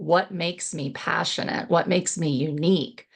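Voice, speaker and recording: Here a woman with an American accent uses an ordinary speaking voice at a fairly low pitch and moderate pace. Her pitch variation is ordinary, and the background is quiet. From Texas. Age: 50s. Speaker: real estate investor and coach. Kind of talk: interview conversation.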